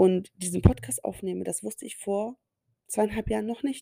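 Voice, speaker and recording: The sound here is dry and close, with no echo. It carries a woman's speech. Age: 30s. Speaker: podcast host. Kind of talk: solo monologue podcast. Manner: animated.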